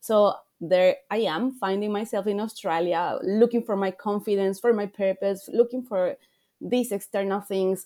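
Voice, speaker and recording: In a very clean recording with a silent background, a woman of medium pitch speaks at a moderate pace with a dark, mellow tone and fairly even intonation. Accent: Spanish. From Ecuador. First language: Spanish. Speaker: life coach. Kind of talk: interview.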